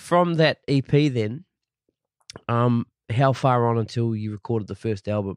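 A man with a New Zealand accent talks at a fairly slow pace with long, frequent pauses. His medium-pitched voice has ordinary pitch variation and a dry, close sound with no echo. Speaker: podcast host. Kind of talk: casual interview chat; scripted intro.

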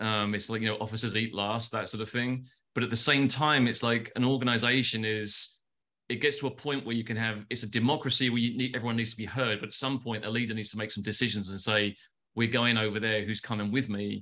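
A man with a London accent talks at a very fast pace in a bright, sharp, flat monotone. The background is quiet. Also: medium pitch for a man. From London, England. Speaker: advertising agency founder. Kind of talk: casual interview. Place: home room. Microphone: video call.

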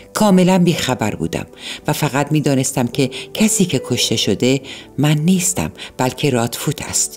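Over music in the background, a woman with a very deep, low voice talks at a moderate pace with lively intonation. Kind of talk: audiobook narration of a novel (night story).

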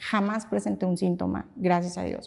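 A woman's dark, mellow voice at a moderate pace, over a quiet background. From Mexico, Saltillo; Mexico. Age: 50s. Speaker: pilates studio founder and instructor; instructor. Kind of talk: casual interview conversation. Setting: her pilates studio. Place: studio.

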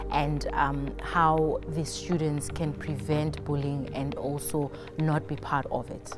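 This woman speaks at a very slow pace. Music plays clearly in the background. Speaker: motivational speaker. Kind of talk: interview answer. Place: hall. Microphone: lapel.

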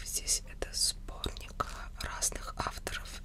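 Soft-spoken, a woman whispers over noticeable background noise. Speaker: ASMR creator. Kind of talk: soft-spoken book show-and-tell. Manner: soft close-mic whisper. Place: home room. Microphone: studio mic.

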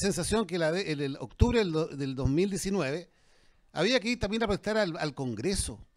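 Over a quiet background, a man talks at a high pitch with lively intonation. He moves at a fairly quick pace. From Chile, interior of Valparaíso region. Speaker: dentist and former politician, debater; panelist. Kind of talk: public debate. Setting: restaurant with live audience. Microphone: handheld.

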